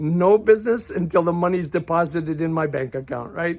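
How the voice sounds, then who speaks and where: A high-pitched man talks at a fairly quick pace with ordinary pitch variation. The recording is very clean, with a silent background. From Croatia (left Yugoslavia at 8, grew up abroad). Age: 60s. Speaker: life coach. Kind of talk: casual monologue. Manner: halting, repetitive stammering.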